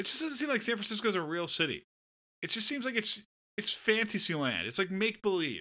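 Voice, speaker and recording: This man has an American accent and a high pitch. He speaks in a raised, projected voice at a fairly quick pace. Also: lively intonation. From Southern California. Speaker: podcast co-host. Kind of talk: casual chat.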